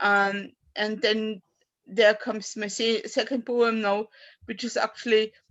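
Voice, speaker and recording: A woman with a German accent talks at a fairly slow pace in a fairly high pitch, her intonation monotone and flat. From Austria. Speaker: poet. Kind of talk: poetry reading and personal talk. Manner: halting.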